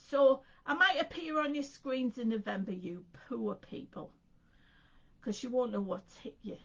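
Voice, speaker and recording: Long, frequent pauses break up speech that moves through very wide pitch swings over noticeable background noise. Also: woman, high pitch for a woman, moderate pace. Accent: English. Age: 60s. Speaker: craft presenter. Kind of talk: casual chat. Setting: live stream.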